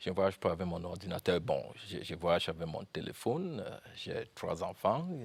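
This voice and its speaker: A man talks with a Cameroonian accent. His pace is moderate. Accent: Cameroonian anglophone accent in French. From Cameroon, anglophone North-West (Momo, Bamenda). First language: English (speaking French). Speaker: university founder and professor. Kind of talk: TV interview. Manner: halting, many hesitations.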